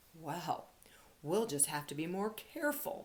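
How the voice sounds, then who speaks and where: A female-sounding, put-on character voice comes out gruff at a middle pitch and a moderate pace. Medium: read story.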